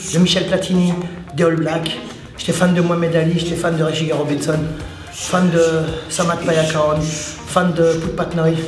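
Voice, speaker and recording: Amid noticeable background noise and audible room echo, a man with a high pitch talks at a moderate pace. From France, Paris suburbs (La Courneuve). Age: 60s. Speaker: martial arts coach. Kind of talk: casual vlog talk. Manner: halting.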